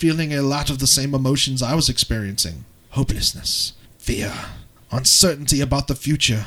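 Someone is reading aloud in a natural voice, and the pitch moves in an ordinary way.

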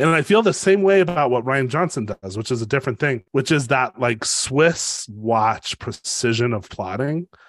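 A man with an American accent, a normal speaking voice at medium pitch, lively intonation, a moderate pace with hardly any pauses, a dry, close sound with no echo and a quiet background. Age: 40s. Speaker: podcast co-host, writing teacher. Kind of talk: casual chat.

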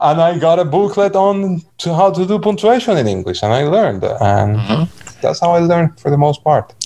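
The voice moves in very wide pitch swings with hardly any pauses. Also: man, high pitch for a man, moderate pace. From Cuba. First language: Spanish. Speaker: blind community member. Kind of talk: interview.

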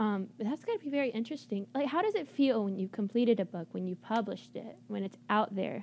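Somewhat breathy, a woman races along at a very fast pace with hardly any pauses and ordinary pitch variation. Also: fairly high pitch for a woman. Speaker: college radio DJ. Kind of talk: casual chat. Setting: studio.

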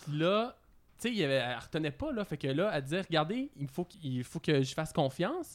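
At a moderate pace, a man with a fairly high pitch and lively intonation talks in an ordinary speaking voice. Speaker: podcast co-host. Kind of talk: casual chat.

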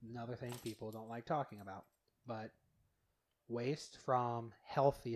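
Speaking fairly slowly with an American accent, a man keeps his intonation monotone and flat. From Utah. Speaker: podcast guest. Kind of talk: casual chat.

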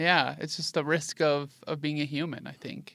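The delivery moves at a moderate pace. It is a normal speaking voice. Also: man, very clean recording, silent background. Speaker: podcast co-host. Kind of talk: casual chat.

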